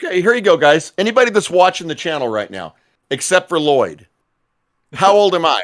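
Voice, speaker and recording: Lively intonation marks a man's high-pitched voice at a fairly quick pace. The recording is very clean and the background silent. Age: 50s. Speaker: podcast co-host and gamer. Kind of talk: casual live-stream chat.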